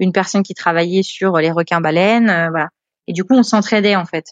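Her pitch medium and her intonation fairly even, a woman speaks at a fairly quick pace. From northern France, Le Havre (Normandy). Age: 20s. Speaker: guest telling her life story. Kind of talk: casual interview storytelling. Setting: remote call. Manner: hesitant, many repeated words and fillers.

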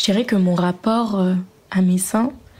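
Speech comes at a very slow pace with fairly even intonation amid noticeable background noise. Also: woman. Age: 20s. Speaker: interviewee sharing personal story. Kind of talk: testimony. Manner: hesitant.

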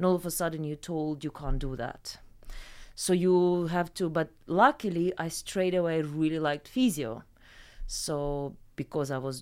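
A woman with a Ukrainian accent speaks fairly slowly in a very deep, low voice with ordinary pitch variation, on a very clean recording with a silent background. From Ukraine. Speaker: salon founder and massage therapist. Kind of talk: casual interview chat.

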